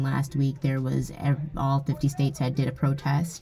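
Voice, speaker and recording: Someone with an American accent talks at a moderate pace over noticeable background noise. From Erie County, New York. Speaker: vlogger. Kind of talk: vlog narration.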